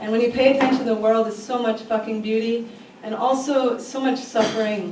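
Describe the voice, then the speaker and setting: A woman's fairly high voice at a moderate pace, fairly even in intonation, over noticeable background noise. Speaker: slam poet. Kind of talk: casual introduction to a live audience. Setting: live venue.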